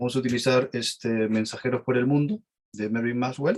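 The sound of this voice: A man speaks at a medium pitch and a moderate pace.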